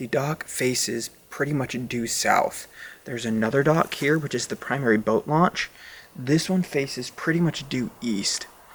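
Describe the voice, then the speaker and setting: Noticeable background noise accompanies the clip. A man speaks with fairly high pitch and ordinary pitch variation. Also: moderate pace. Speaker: astrophotographer vlogger. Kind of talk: casual vlog narration. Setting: outdoors at a pond at night.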